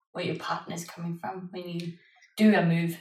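A somewhat breathy woman at medium pitch. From Denmark.

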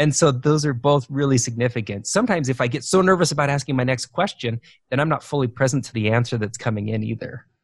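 Speech rushes along at a very fast pace, somewhat breathy and with hardly any pauses. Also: man, medium pitch for a man, ordinary pitch variation. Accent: American. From Idaho, US. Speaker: leadership coach. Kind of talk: interview.

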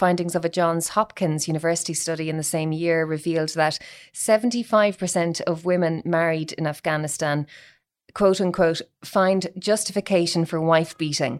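A woman with a plain, everyday voice speaks at a moderate pace, her fairly low pitch held in fairly even intonation. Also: very clean recording, silent background. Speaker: podcast host. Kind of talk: interview, scripted intro.

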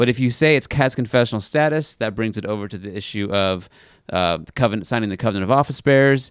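A man talks in an ordinary speaking voice with ordinary pitch variation, recorded very cleanly against a silent background. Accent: American. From California Central Valley. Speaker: pastor. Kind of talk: casual chat.

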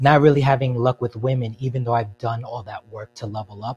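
Recorded with a dry, close sound and no echo, a man speaks fairly quickly in a somewhat breathy voice with monotone, flat intonation. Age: 30s. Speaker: caller. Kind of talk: call-in advice chat.

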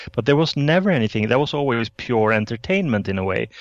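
A man speaks with a Swedish accent. The background is quiet. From Sweden. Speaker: author. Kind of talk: interview.

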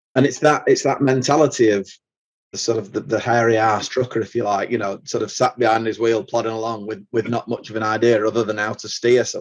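A man with a Mancunian accent, fairly even intonation and a very fast pace. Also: medium pitch for a man. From Manchester, England. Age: 40s. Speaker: truck driver and app founder. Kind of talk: podcast interview. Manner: halting, many repetitions.

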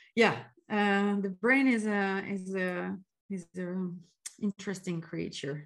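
A woman speaks at a fairly slow pace and medium pitch, her intonation fairly even. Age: 30s. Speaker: CX consultant and career coach. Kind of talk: podcast interview. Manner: halting, many fillers.

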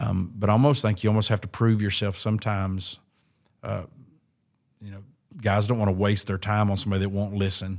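On a very clean recording with a silent background, a man with a fairly low pitch talks at a fairly quick pace with fairly even intonation and long, frequent pauses. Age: 40s. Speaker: pastor and podcast host. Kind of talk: casual chat. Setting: recorded on site at a church event.

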